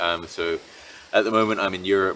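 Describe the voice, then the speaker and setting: With a slight British accent, a man talks at a moderate pace. His pitch is very deep and low. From Britain. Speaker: entrepreneur and digital nomad vlogger. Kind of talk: casual monologue. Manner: many fillers and restarts.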